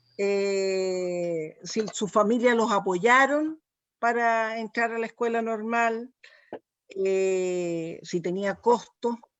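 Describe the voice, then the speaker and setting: The speech is very slow, with ordinary pitch variation. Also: woman, fairly high pitch for a woman. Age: 60s. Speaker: museum event moderator. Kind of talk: panel discussion. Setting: livestream.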